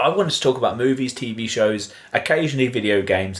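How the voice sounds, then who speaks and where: A man talks with a southern English accent. His pace is fairly quick. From southern England. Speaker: podcast co-host. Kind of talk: casual chat.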